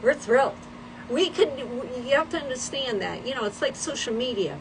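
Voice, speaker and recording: Noticeable background noise is present. A woman speaks in a high pitch. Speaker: livestream host. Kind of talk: casual chat. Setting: livestream.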